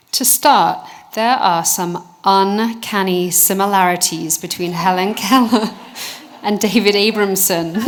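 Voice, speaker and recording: A woman with a British accent speaks fairly slowly at medium pitch with fairly even intonation. Noticeable background noise runs behind her. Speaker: researcher. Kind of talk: award presentation speech.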